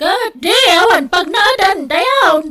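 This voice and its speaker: A woman uses a put-on character voice that is squeaky and extremely high in pitch. She speaks very slowly, with very wide pitch swings. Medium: audio drama.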